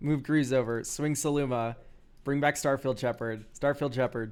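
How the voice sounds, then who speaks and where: This is an ordinary speaking voice from a man at medium pitch, with fairly even intonation. The recording is very clean, with a silent background. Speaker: streamer reviewing game decks. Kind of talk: live stream commentary.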